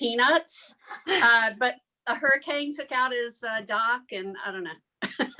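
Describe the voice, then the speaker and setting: A woman with a Southern US accent speaks at a moderate pace in a high pitch, her intonation lively. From US South, small-town Alabama. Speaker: journalist. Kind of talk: casual self-introduction in a workshop.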